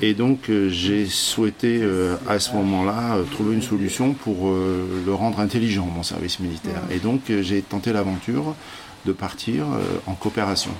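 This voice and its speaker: There is noticeable background noise behind a man with a fairly low pitch. He talks at a moderate pace with ordinary pitch variation. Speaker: theatre director and actor. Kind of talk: interview. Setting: busy public place. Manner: hesitant, with many fillers.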